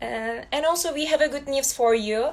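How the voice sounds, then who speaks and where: A high-pitched woman's voice in a Turkish accent, with fairly even intonation. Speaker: student host. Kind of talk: online interview. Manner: halting.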